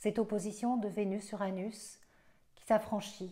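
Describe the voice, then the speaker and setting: A woman speaks at a fairly slow pace with a medium pitch and a dark, mellow tone. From Belgium. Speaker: astrologer. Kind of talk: astrology forecast monologue. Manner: hesitant, many fillers.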